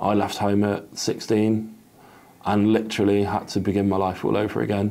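At a fairly slow pace, a man speaks in a flat monotone, his pitch fairly low and his tone dark and mellow. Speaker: interview guest. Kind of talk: interview answer. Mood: sombre, candid personal story. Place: home room. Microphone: lapel.

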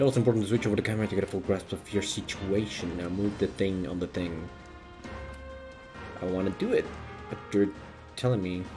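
Music plays in the background as a man talks at a very fast pace with ordinary pitch variation, broken by long, frequent pauses. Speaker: streamer. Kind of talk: casual gameplay commentary.

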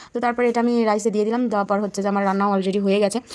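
Amid noticeable background noise, a woman talks at a fairly high pitch with ordinary pitch variation. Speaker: lifestyle and cooking vlogger. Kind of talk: casual vlog narration.

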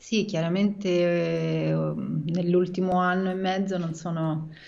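A woman talks at a fairly slow pace in a fairly low voice. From Rome, Italy; Italy. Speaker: writer and screenwriter; guest. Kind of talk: casual interview chat. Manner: halting, many fillers and repetitions. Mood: relaxed, smiling. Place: home room. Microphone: video call.

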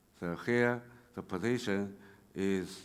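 A man with a Chinese accent speaks very slowly in a very deep, low voice with ordinary pitch variation. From China. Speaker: railway engineering researcher; conference presenter. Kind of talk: conference talk. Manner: halting, many fillers. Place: hall. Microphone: podium.

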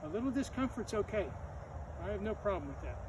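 There is noticeable background noise as a man speaks at a fairly quick pace. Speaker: gym teacher. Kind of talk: exercise class instruction. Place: open country. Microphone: camera far.

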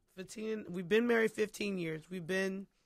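An American accent is heard against a quiet background in a dry sound with no echo. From Philadelphia. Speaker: singer; guest. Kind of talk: interview. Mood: relaxed, reflective. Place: studio. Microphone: studio mic.

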